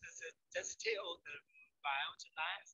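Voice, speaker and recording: A man talks with a Chinese accent. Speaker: ecology researcher. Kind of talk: Q&A after a lecture. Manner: halting. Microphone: too quiet, mic far from mouth.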